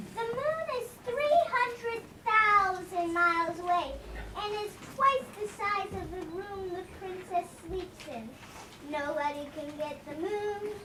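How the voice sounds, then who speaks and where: A put-on character voice at an extremely high pitch, fairly slow, with clear background noise. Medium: stage play. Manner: pedantic, self-satisfied.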